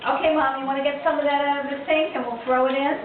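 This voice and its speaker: Behind a woman's high-pitched voice there is noticeable background noise. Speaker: home cook demonstrating family recipe. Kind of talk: casual cooking demonstration to camera.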